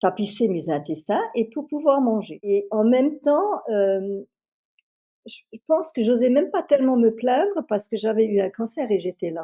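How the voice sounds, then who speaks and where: A woman with a fairly high pitch and a dark, mellow tone speaks fairly slowly, her pitch swinging very widely. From France, Moselle. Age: 60s. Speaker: customer giving a testimonial. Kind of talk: testimony. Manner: hesitant, many fillers and repetitions.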